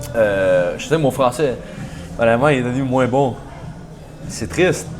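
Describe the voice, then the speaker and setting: Amid noticeable background noise and audible room echo, a man of medium pitch speaks at a moderate pace with ordinary pitch variation. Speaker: university football player. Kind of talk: casual interview. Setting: podcast. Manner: halting, many repetitions and fillers.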